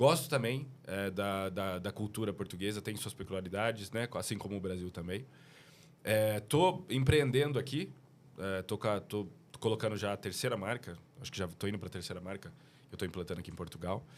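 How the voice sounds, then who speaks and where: Pitched fairly low, the man's voice rises and falls with ordinary variation. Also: fairly quick pace. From Brazil, São Paulo. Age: 30s. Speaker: business owner. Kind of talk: casual chat.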